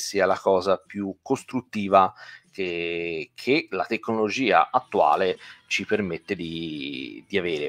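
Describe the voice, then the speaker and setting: Over a quiet background, a man with fairly low pitch speaks very slowly, showing ordinary pitch variation. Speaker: guitar teacher. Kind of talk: live online lesson. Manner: hesitant, many fillers. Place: home room. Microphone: studio mic.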